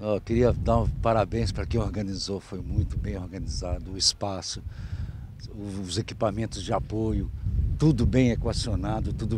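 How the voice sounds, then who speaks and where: A man with a fairly low pitch speaks at a moderate pace with very wide pitch swings. The sound is dry with no echo, with noticeable background noise. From Belo Horizonte, Brazil. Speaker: festival camper. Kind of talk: interview answer. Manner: enthusiastic, casual. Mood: enthusiastic, praising. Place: open country. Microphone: handheld.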